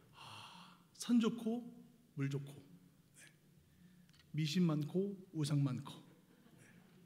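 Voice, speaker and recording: A man with a Seoul accent speaks at a very slow pace in a fairly high pitch, his dark, mellow tone carrying lively intonation through long, frequent pauses and audible room echo. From Seoul, South Korea. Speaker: missionary guest preacher. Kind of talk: sermon. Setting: church service. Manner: hesitant, many filler sounds.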